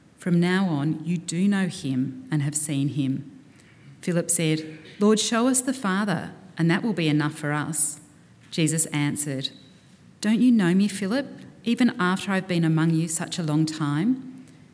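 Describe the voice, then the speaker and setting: Intonation here is lively. It's a normal speaking voice that keeps a moderate pace. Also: woman, fairly low pitch for a woman. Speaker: scripture reader at church service. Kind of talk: reading aloud. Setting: church.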